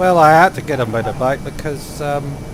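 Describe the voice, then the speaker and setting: Audible room echo and noticeable background noise surround a man who talks at a moderate pace with a fairly high pitch and ordinary pitch variation. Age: 60s. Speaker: flight sim streamer. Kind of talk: casual chat. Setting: live stream.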